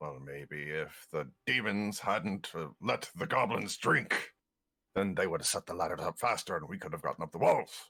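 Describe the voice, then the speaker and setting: A man puts on a character voice, pitched very deep and low, and delivers it at a moderate pace. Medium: actual play. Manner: sulky, defensive.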